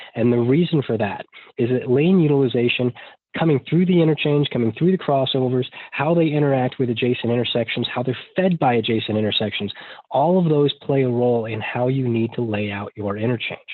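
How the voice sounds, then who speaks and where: Fairly quick speech from a man at a medium pitch, with ordinary pitch variation. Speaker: traffic engineer presenter. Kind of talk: webinar presentation. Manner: fast.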